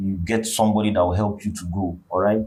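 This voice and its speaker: A man with an African accent and a fairly low pitch on a very clean recording with a silent background. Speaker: vlogger. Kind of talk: motivational monologue. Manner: halting.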